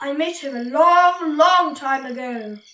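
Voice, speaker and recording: A woman performs a put-on character voice, high in pitch. She delivers it at a fairly slow pace. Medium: read story.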